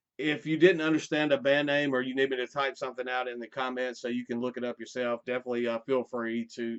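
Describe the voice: A man speaks fast in a medium pitch with a clear, smooth tone.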